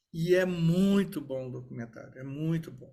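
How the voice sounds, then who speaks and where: A man speaks in a normal speaking voice at a fairly high pitch. His pace is fairly slow. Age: 60s. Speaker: lawyer and event moderator. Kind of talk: panel discussion after a talk.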